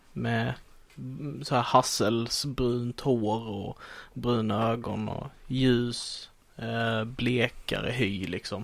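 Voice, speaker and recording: At a very slow pace, a man speaks in a medium pitch with monotone, flat intonation. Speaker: podcast co-host. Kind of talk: casual chat.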